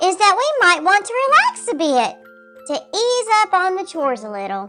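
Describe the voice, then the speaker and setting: A squeaky put-on character voice from a woman at a moderate pace, with clear music in the background. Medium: read story.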